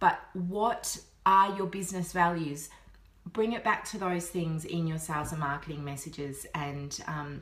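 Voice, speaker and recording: In an Australian accent, a woman speaks at a fairly low pitch with ordinary pitch variation, over noticeable background noise and audible room echo. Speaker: business coach. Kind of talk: vlog-style tutorial. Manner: fast; animated.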